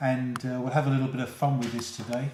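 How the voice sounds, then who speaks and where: The speaker talks at a fairly quick pace with a London accent. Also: man. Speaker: playing a teacher.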